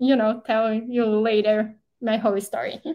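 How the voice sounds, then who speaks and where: At a moderate pace, a woman with a Portuguese accent talks in a fairly high pitch with monotone, flat intonation. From southern Brazil. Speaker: fashion designer. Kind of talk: podcast interview.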